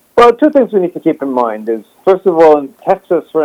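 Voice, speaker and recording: A man with an unremarkable speaking voice talks at a fairly quick pace with ordinary pitch variation, the sound dry and close with no echo. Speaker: historian and website publisher. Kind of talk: interview on current affairs. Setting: remote call.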